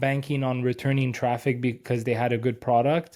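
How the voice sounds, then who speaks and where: Medium in pitch, a man's voice has a dark, mellow tone and moves at a moderate pace. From Quebec, Canada. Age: 30s. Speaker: SEO agency owner. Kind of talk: podcast interview.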